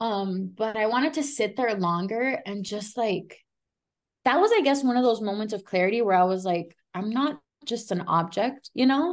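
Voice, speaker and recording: Against a quiet background, a woman with an unremarkable speaking voice talks at a moderate pace, fairly high in pitch, with lively intonation. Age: 20s. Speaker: author and recovering addict. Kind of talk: casual interview, personal testimony.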